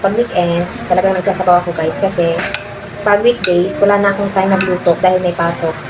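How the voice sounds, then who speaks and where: Soft-spoken, a woman speaks at a medium pitch and moderate pace with fairly even intonation over noticeable background noise. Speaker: vlogger and mother. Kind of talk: casual vlog talk.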